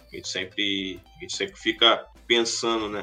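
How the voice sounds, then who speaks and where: A man talking over music in the background. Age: 20s. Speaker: database professional. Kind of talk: casual interview. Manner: halting.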